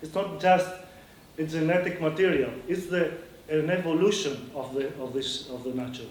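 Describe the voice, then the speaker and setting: With a Greek accent, a man talks at a moderate pace in a fairly high pitch with ordinary pitch variation and big swings in loudness, and audible room echo surrounds him. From Greece. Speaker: seed network activist. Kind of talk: conference talk. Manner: halting.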